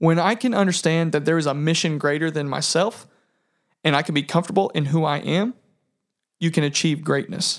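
With an American accent, a man speaks at a fairly high pitch and a fairly quick pace. His loudness stays very even, and his pitch varies in an ordinary way. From US Midwest, southern Indiana. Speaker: podcast co-host. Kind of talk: casual chat.

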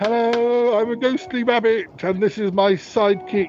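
This man uses a put-on character voice pitched extremely high. Background noise is clearly audible. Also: moderate pace. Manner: spooky.

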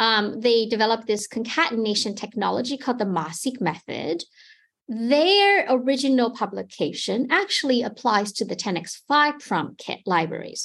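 A woman with a Taiwanese accent and lively intonation, over a quiet background. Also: fairly high pitch for a woman, moderate pace. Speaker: genomics company product manager. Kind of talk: interview.

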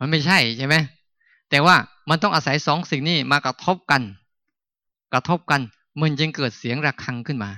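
A man's fairly high, bright, sharp voice, dry and close with no echo, in a very clean recording with a silent background. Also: ordinary pitch variation. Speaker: Buddhist monk, meditation teacher. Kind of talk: dharma talk at a meditation retreat.

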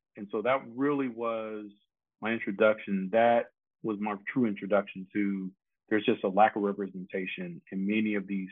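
At a moderate pace, a man with an American accent speaks at a fairly low pitch with fairly even intonation. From Detroit, Michigan, US. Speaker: biomedical engineering professor. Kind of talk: interview. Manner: relaxed.

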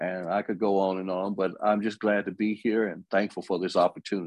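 Flat and monotone at a moderate pace, a man with an Alabama accent speaks in a fairly low pitch, the sound dry and close with no echo over a quiet background. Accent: Southern US (Alabama). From US South, Alabama. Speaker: gospel music writer. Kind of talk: interview.

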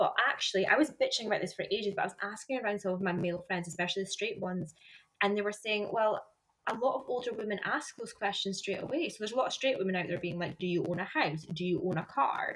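The speech comes at a very fast pace in a Scottish accent, with ordinary pitch variation. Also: woman, medium pitch for a woman. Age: 20s. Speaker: podcast host. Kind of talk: casual chat. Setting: remote recording over internet.

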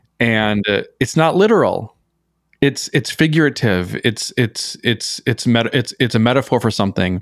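In an American accent, a man speaks with ordinary pitch variation and very even loudness, in a dry, close sound with no echo on a very clean recording with a silent background. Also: medium pitch for a man, moderate pace. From small-town Minnesota. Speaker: poet and meme artist. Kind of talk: casual interview chat. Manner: halting, many repeated words.

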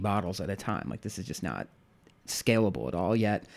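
A man with an American accent talks at a very fast pace. His fairly low voice carries vocal fry. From US Midwest, St. Louis. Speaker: home brewer. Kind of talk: casual chat. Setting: home office.

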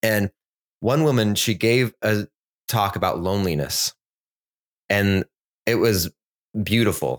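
A man talks with ordinary pitch variation, very even loudness and long, frequent pauses. The recording is very clean and dry, close, with no echo and a silent background. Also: fairly slow pace. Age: 40s. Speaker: podcast co-host. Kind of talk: casual chat.

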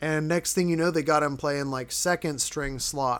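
A man with a fairly high pitch and an unremarkable speaking voice talks at a moderate pace in a very clean recording with a silent background. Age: 30s. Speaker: football podcaster. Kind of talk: casual solo podcast commentary. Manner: casual, many filler words.

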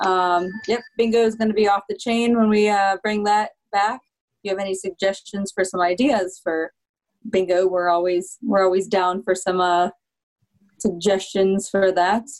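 At a moderate pace and with fairly even intonation, a woman talks in an ordinary speaking voice. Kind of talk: casual chat. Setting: video call.

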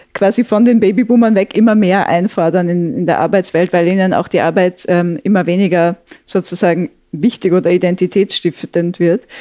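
Speaking at a moderate pace, a woman has a dark, mellow tone. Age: 30s. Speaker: sociologist. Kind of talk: conversational interview.

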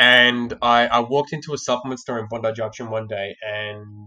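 A man speaks with fairly even intonation. His tone is bright and sharp. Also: quiet background. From Australia. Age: 20s. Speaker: sales trainer. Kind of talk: casual chat. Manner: halting, with frequent repeated words.

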